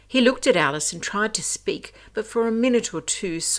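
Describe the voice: The intonation is lively during this plain reading aloud.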